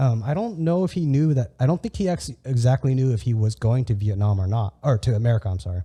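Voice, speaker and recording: In a Californian accent, the speaker races along at a very fast pace with hardly any pauses, lively intonation, and a somewhat breathy, dark, mellow tone on a very clean recording with a silent background. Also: man, medium pitch for a man. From California, US. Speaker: podcast host. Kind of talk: casual conversational interview. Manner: halting, many false starts and repeats.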